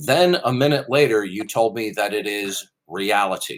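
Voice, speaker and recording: In a very clean recording with a silent background, a man with a normal speaking voice talks at medium pitch with lively intonation. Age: 50s. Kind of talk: heated debate. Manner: forceful, interrupting.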